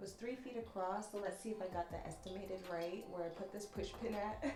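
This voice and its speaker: Soft-spoken, relaxed woman at medium pitch, with noticeable background noise. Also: fairly even intonation. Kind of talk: ASMR soft-spoken talk to camera.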